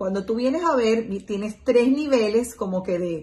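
The woman's speech has lively intonation and moves at a moderate pace. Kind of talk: educational explainer. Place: home room. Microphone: phone near.

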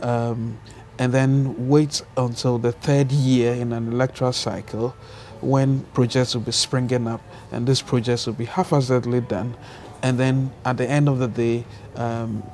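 A man speaks fairly slowly in a monotone, flat intonation, with light background noise behind him. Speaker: interview guest. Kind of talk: interview answer. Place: home room. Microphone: lapel.

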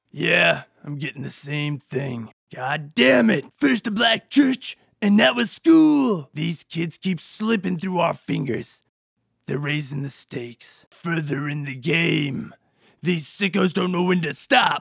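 A man's voice is raspy and fairly high in pitch. His intonation is lively. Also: fairly slow pace. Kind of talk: parody cop-drama acting. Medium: comedy sketch.

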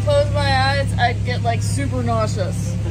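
Loud background noise surrounds a woman speaking at a moderate pace. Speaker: boat owner vlogger. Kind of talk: casual vlog chat. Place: boat. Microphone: phone near.

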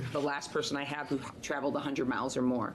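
Fairly quick speech from a woman with fairly even intonation, amid noticeable background noise. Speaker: committee chair. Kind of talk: public hearing chairing. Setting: legislative hearing room. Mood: brisk, polite. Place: hall. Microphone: podium.

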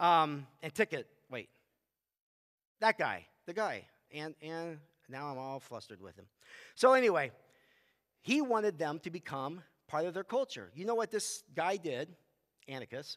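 This man talks at a moderate pace with a fairly high pitch, very wide pitch swings and big swings in loudness. His long, frequent pauses sit over a quiet background. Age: 50s. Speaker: youth pastor. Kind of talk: bible study teaching. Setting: church with audience, also streamed. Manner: casual, halting with fillers. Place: stage.

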